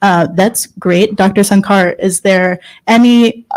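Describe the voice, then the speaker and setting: In an American accent and a normal speaking voice, a woman talks fairly slowly at medium pitch with fairly even intonation, on a very clean recording with a silent background. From United States. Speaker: workshop moderator. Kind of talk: panel moderation.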